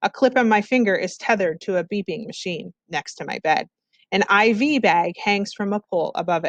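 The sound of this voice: An unforced reading voice moves with ordinary pitch variation against a quiet background.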